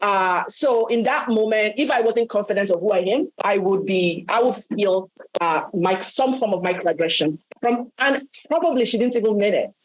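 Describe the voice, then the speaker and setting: A woman with a Nigerian accent, fairly high in pitch, at a moderate pace and very even loudness. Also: lively intonation. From Nigeria, Yoruba. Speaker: workshop panelist. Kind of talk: panel discussion.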